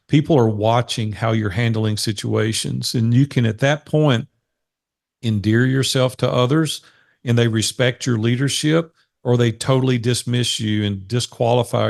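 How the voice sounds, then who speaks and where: This man has a plain, everyday voice at a medium pitch, speaking at a moderate pace. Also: quiet background. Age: 60s. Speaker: business coach. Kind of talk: interview. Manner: earnest.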